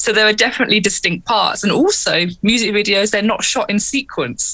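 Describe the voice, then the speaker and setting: Speaking with a strong English accent, a woman moves at a fairly quick pace in a fairly high pitch with ordinary variation, a bright, sharp tone and very even loudness. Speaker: keyboardist and singer in a metal band. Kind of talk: casual interview. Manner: energetic.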